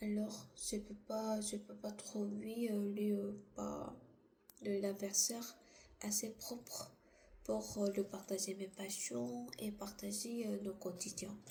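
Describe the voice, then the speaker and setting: There is noticeable background noise and audible room echo as a woman talks very slowly. Her voice sits at a medium pitch with ordinary variation. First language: not French (speaking French). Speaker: vlogger. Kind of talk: casual monologue. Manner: halting.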